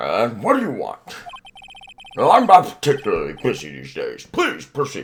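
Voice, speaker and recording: This is a man using a put-on character voice. He talks at a moderate pace. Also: big swings in loudness. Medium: game stream. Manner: pompous, stately, slow.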